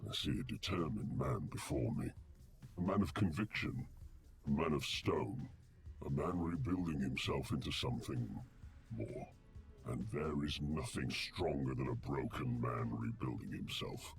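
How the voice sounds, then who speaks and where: In a put-on character voice with a solemn tone, the speaker keeps a moderate pace over clear background noise. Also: man. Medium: video game. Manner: solemn, measured.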